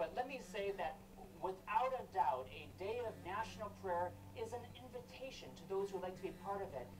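A man's high-pitched voice at a moderate pace, with ordinary pitch variation and noticeable background noise. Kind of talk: heated TV debate. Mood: firm, argumentative. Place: studio.

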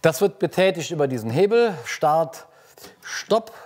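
A man's fairly high voice with big pitch swings at a fairly slow pace. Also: slightly mellow tone.

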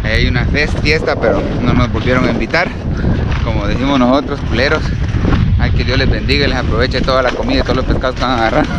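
Over loud background noise, a man talks very fast, the sound dry with no echo. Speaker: fishing vlogger. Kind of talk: casual vlog chat. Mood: cheerful, joking. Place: open country. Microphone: phone near.

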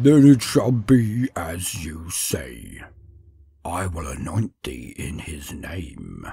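A man puts on a character voice that is gravelly and very deep. He speaks very slowly, with very wide pitch swings. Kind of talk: dark fantasy horror narration. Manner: amused, condescending, archaic.

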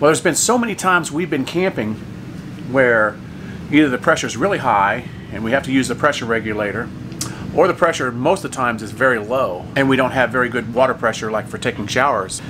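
There is noticeable background noise. A man talks at a very fast pace. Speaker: RV camping vlogger. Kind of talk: casual vlog chat. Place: home room. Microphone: phone near.

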